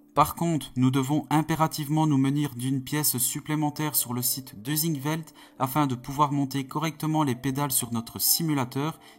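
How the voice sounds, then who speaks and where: A man with a Belgian accent speaks at a fairly quick pace and fairly high pitch. His intonation is monotone and flat. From Belgium. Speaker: sim racing youtuber. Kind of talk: product review.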